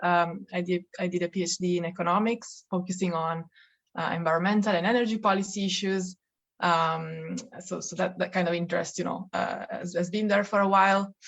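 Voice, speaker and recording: Her pace is fairly quick and her pitch medium. The woman speaks with an Italian accent in a flat monotone. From Italy. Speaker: policy researcher. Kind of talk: podcast interview.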